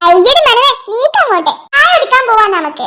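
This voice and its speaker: In a cartoonish character voice, a woman speaks at a moderate pace, squeaky and extremely high-pitched, with very wide pitch swings. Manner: teasing.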